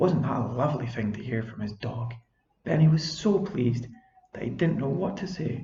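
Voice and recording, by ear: The voice reads aloud naturally, with lively intonation. Behind it, all is quiet.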